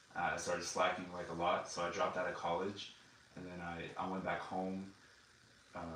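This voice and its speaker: A man with an American accent and a very deep, low pitch speaks fairly quickly in a flat monotone, leaving long, frequent pauses, with noticeable background noise and audible room echo. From Texas. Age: 20s. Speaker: Air Force member. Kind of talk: interview. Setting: video recording. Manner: halting.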